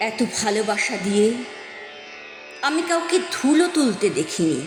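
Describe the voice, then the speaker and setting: The speech has very wide pitch swings, with music in the background. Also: woman. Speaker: poetry reciter. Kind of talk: poetry reading. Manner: expressive, emotional.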